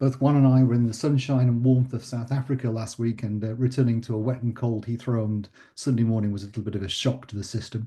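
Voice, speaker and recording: Delivered at a very fast pace with hardly any pauses, the voice is dark, mellow and somewhat breathy. The intonation stays monotone and flat. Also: man, medium pitch for a man. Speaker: professor. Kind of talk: lecture.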